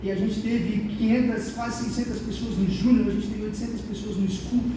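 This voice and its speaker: A man with a southern Brazilian accent, flat monotone delivery, and audible room echo. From southern Brazil, Santa Catarina. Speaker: youth pastor, guest preacher. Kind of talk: sermon.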